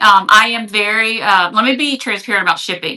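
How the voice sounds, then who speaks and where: A woman's fairly high, bright, sharp voice with a Louisiana accent and ordinary pitch variation. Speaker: online reseller. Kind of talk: live selling stream. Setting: livestream. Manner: hesitant, many fillers.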